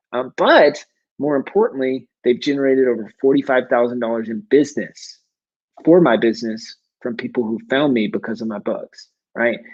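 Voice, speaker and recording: A man with an American accent, an ordinary speaking voice, medium pitch, ordinary pitch variation and a fairly quick pace. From US South, South Carolina. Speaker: self-publishing coach, business owner. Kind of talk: online workshop presentation. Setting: live video stream. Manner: fast.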